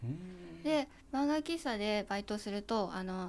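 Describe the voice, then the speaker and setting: On a very clean recording with a silent background, a woman speaks very slowly at a fairly high pitch with lively intonation. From Japan, Kanagawa. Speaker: photographer's assistant. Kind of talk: interview.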